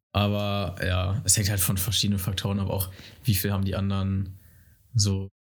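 A man with a fairly low pitch and a somewhat breathy voice talks at a moderate pace. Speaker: guest. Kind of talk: casual chat. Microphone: too far from the mic.

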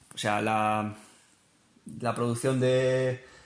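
A man's voice sits at a medium pitch while noticeable noise runs in the background. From northern Spain. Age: 20s. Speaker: biologist and livestock farming enthusiast. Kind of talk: casual chat.

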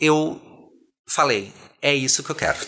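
With noticeable background noise behind him, a man talks at a moderate pace and a fairly high pitch. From southern Brazil (Rio Grande do Sul). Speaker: singer and drag artist. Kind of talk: casual chat.

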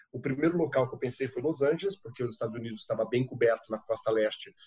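A man's medium-pitched, somewhat breathy voice with a dark, mellow tone, ordinary pitch variation and a very fast pace. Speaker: TV foreign correspondent. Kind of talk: interview.

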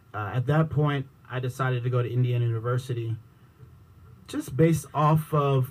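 At a moderate pace, a man talks in a medium pitch that sounds somewhat breathy. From Washington, D.C. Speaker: TV news producer and podcaster. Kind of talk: radio interview.

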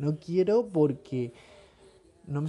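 A man with a Rioplatense accent speaks at a fairly high pitch. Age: 20s. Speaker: podcaster. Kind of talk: personal reflective monologue. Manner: casual, hesitant with fillers.

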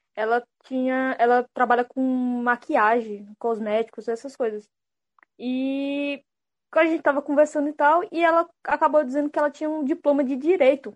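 The sound is dry and close, with no echo. A woman speaks at a moderate pace in a high pitch with ordinary pitch variation. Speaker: unemployed graduate. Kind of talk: casual chat.

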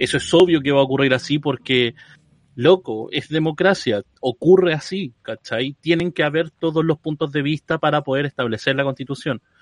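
A fairly high-pitched man with a Chilean accent, moderate pace, ordinary pitch variation, and a dry, close sound with no echo. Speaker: podcast host. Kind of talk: casual chat. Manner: animated.

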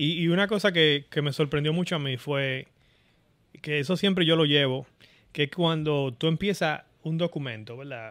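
With an ordinary speaking voice, a man talks at a moderate pace, his fairly high pitch showing ordinary variation. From Dominican Republic, Santo Domingo area. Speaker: software engineer. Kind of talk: casual interview.

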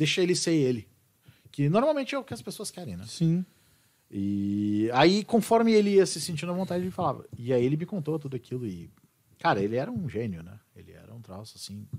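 A man talks at a fairly quick pace, his pitch swinging very widely and his loudness rising and falling in big swings. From southern Brazil, Serra Gaúcha (Bento Gonçalves). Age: 40s. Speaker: rock singer. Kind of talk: casual chat. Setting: studio.

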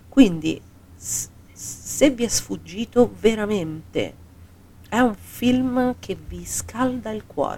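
A woman talks very slowly, with long pauses coming often. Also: big swings in loudness. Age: 40s. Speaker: podcast co-host. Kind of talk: casual chat. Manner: animated.

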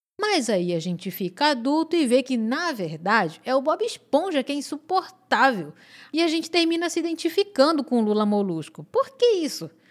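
A woman speaks in a high voice with very wide pitch swings, recorded very cleanly against a silent background. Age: 30s. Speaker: podcast host. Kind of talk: solo podcast monologue. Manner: informal and conversational.

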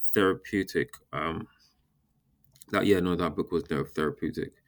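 A man is speaking. His pace is moderate. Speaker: novelist. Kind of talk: interview recollection. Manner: hesitant, fillers.

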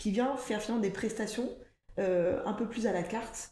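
With audible room echo, a woman speaks at a moderate pace in a fairly high, somewhat breathy voice of dark, mellow tone and fairly even intonation. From France, Ardennes countryside. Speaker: operations director at a recycling company. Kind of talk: podcast interview.

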